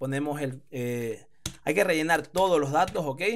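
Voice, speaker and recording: The man has a fairly high-pitched voice. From Spain. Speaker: online business teacher. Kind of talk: screen-recorded tutorial. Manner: hesitant, many fillers.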